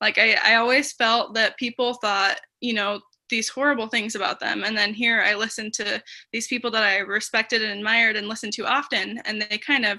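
A woman with an American accent speaks in a bright, sharp tone over a quiet background. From Utah, US. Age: 20s. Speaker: special education worker. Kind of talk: interview testimony.

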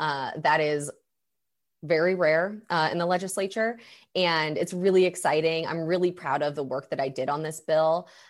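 A woman with an American accent and a normal speaking voice talks at a moderate pace and fairly low pitch in a very clean recording with a silent background. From Missouri, US. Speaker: state legislator. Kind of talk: interview answers about politics.

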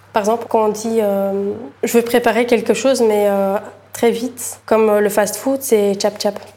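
Speaking at a fairly slow pace, a woman uses a fairly high pitch and a dark, mellow tone, her intonation monotone and flat. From Bulgaria, moved to Belgium at 13. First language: Bulgarian (speaking French). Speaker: aspiring chef and entrepreneur. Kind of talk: interview testimony.

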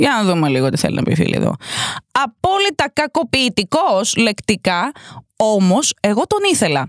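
A woman's animated tone and very wide pitch swings, in a dry, close sound with no echo. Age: 30s. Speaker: podcast host, advice giver. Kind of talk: casual chat, reading out listener stories with commentary.

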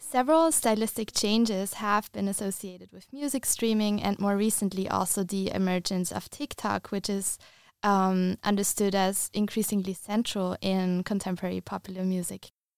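A woman with a German accent speaks at a medium pitch and moderate pace, with fairly even intonation and hardly any pauses. The sound is dry and close, with no echo. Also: very clean recording, silent background. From Austria. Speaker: music researcher. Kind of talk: radio talk about music research. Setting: radio studio.

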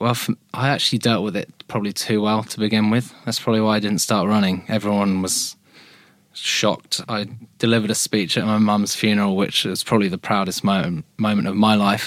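A man with a British accent speaks at a fairly quick pace. His pitch is fairly low and his intonation monotone and flat. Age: 20s. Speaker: charity endurance runner. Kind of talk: interview.

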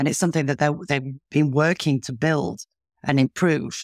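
A woman with a very deep, low pitch and ordinary pitch variation is heard in a dry, close sound with no echo on a very clean recording with a silent background. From northern England. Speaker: podcast host. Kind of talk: interview conversation.

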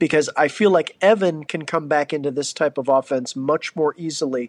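A man with an unremarkable speaking voice, a fairly high pitch, a moderate pace and ordinary pitch variation. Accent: American. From Ohio, near Cleveland. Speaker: listener submitting mailbag message. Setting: recorded voicemail message.

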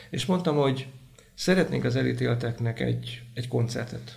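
Audible room echo colors the recording. The man keeps to a moderate pace. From Hungary, Vas county. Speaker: prison chaplain. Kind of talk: interview testimony.

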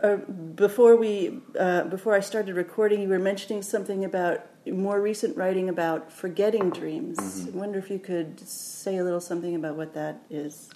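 Noticeable background noise surrounds a woman talking at a fairly quick pace. Her medium pitch shows ordinary variation. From Oakland, California, US. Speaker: podcast host. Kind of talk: interview. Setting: in person in New Orleans.

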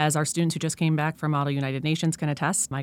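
The recording is very clean, with a silent background. The speaker has an American accent. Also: woman. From Colorado, US. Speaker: history professor and assistant dean. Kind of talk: casual interview.

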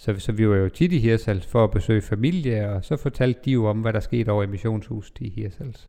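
A man's fairly low, dark and mellow voice at a moderate pace, with ordinary pitch variation and hardly any pauses. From Denmark, North Jutland (Vendsyssel). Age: 40s. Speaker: pastor. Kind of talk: life-story interview. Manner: hesitant, many fillers.

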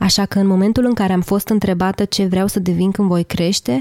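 A woman talks at a moderate pace in a medium pitch with a dark, mellow tone. The sound is dry and close with no echo, and the recording is very clean with a silent background. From southern Romania, Teleorman. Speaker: podcast host. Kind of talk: scripted narration.

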